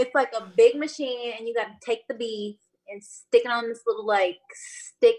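A woman speaks in a plain, everyday voice with a fairly high pitch. Her intonation is fairly even and her pace moderate. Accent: American. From Battle Creek, Michigan. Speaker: lash business owner. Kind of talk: casual chat.

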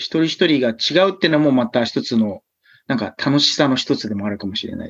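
An unremarkable speaking voice from a man, fairly quick in pace, with lively intonation. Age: 30s. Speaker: touch rugby player and step instructor. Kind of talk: interview.

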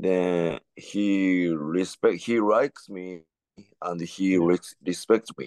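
A man with a Japanese accent speaks very slowly in a very deep, low pitch, his intonation fairly even. His loudness swings widely, and the sound is dry and close with no echo. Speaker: professional wrestler. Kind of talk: casual chat. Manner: halting.

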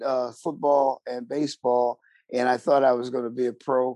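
With an American accent, a man speaks at a moderate pace in a dark, mellow tone. The sound is dry and close with no echo. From Buffalo, western New York, US. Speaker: theater actor and director. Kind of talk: casual interview chat.

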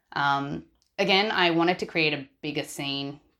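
A woman speaks with an Australian accent at a very deep, low pitch. The recording is very clean, with a silent background. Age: 20s. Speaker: listener sharing a story. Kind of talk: testimony. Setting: voice recording.

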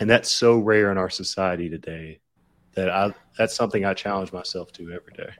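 In a Southern US accent, a man with a fairly low pitch talks at a fairly quick pace with fairly even intonation and big swings in loudness, on a very clean recording with a silent background. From US South, Lower Alabama. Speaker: ghostwriter and entrepreneur. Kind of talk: casual interview chat.

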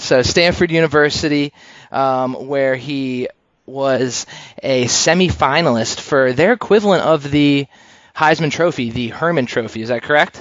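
An unremarkable speaking voice with an American accent, ordinary pitch variation and a moderate pace. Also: man, fairly high pitch for a man. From Pennsylvania. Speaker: podcast host. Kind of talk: casual interview chat. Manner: filler-heavy, uh and um.

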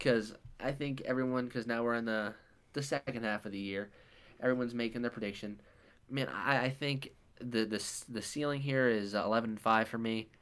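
This man has an ordinary speaking voice at a medium pitch, and his intonation stays fairly even. He talks at a fairly quick pace. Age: young. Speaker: sports podcast co-host. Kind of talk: casual chat.

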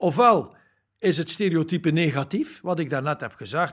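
On a very clean recording with a silent background, a man speaks with very wide swings in pitch. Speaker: labour market expert, company spokesperson. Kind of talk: interview. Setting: hotel.

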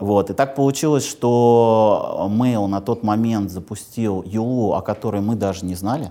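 This man has a dark, mellow tone and speaks at a fairly slow pace. The recording is very clean, with a silent background. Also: medium pitch for a man, ordinary pitch variation. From Moscow region, Russia. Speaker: bank product executive. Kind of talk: interview. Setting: studio.

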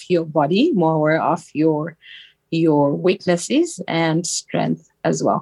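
On a very clean recording with a silent background, a woman with a Zimbabwean accent speaks very slowly at a fairly low pitch. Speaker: actress, model and philanthropist. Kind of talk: interview.

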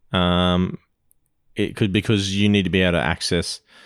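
Speaking with an Australian accent, the voice keeps a moderate pace and fairly even intonation. The sound is dry and close with no echo. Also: man. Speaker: co-host. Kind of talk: casual banter. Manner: joking, teasing.

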